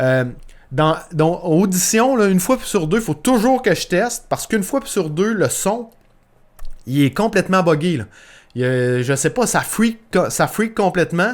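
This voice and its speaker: A man with a Quebec accent speaks at a fairly slow pace and high pitch, his pitch swinging very widely while his loudness stays very even. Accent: Québécois. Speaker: podcast host, entrepreneur. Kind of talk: solo podcast tutorial. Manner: casual, many fillers and repetitions.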